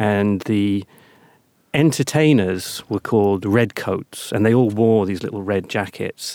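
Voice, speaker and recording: In a very clean, dry, close recording with no echo and a silent background, a man with a British accent speaks fairly slowly at a fairly low pitch, with a dark, mellow tone and ordinary pitch variation. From Britain. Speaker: podcast host. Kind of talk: interview. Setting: studio.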